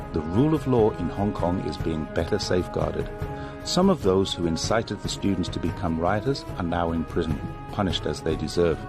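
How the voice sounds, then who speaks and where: Music plays behind a man who speaks fairly quickly in a very deep, low voice with lively intonation. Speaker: voice-over narrator. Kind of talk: political documentary narration.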